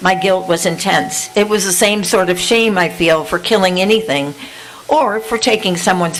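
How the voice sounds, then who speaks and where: With music in the background, the voice moves at a moderate pace with ordinary pitch variation. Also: woman. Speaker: poet. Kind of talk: casual remarks to audience; poetry reading.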